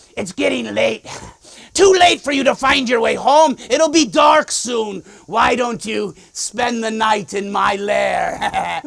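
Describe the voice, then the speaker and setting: In a put-on character voice, a man speaks fairly slowly at an extremely high pitch. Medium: solo performance.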